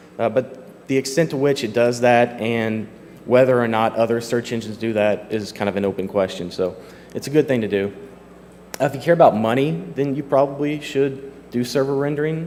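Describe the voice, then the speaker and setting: A man's medium-pitched voice with a Kentucky accent, at a fairly quick pace with ordinary pitch variation. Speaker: software developer, conference speaker. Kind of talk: conference talk. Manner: casual with many fillers.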